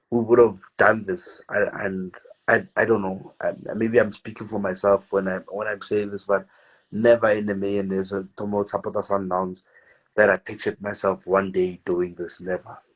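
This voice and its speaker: A man mumbles at a moderate pace in a fairly low, monotone voice with flat intonation. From South Africa, Pretoria township. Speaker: football fan vlogger. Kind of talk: interview. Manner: mumbling; halting, repeats words.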